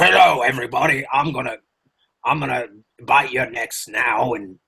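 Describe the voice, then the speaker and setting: A man's put-on character voice, raspy and at a moderate pace. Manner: flat, not seductive.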